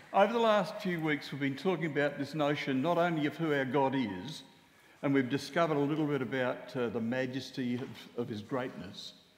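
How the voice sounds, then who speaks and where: Lively intonation marks this man's fairly quick delivery, heard with audible room echo. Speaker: preacher. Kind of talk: sermon. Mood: jovial, joking. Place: church.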